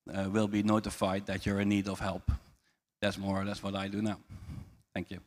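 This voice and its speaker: A man with a Dutch accent talks at a fairly quick pace in a fairly low, monotone, flat voice. He leaves long, frequent pauses. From southern Netherlands, Eindhoven. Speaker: finance executive. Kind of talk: panel self-introduction.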